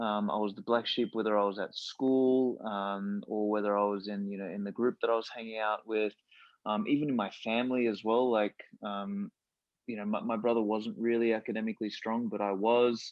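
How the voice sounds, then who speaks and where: A man speaks with an Australian accent. His pitch is medium and his pace moderate. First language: Macedonian. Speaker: podcast host. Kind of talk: casual chat.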